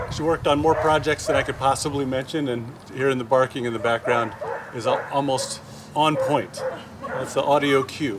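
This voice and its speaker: A man talks at a moderate speed with heavy background noise all around. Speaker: town official hosting a memorial. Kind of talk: memorial speech. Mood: warm, respectful. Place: open country. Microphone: podium.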